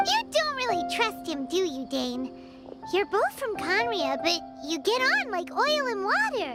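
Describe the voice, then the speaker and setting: Loud music plays behind a cartoonish character voice at an extremely high pitch, delivered at a moderate pace. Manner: perky, high-energy.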